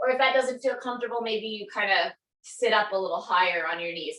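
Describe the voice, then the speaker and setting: Her voice sits fairly high and moves with ordinary pitch variation as this woman talks at a moderate pace in a calm tone. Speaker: yoga instructor. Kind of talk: guided yoga class instruction. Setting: yoga studio. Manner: calm, guiding.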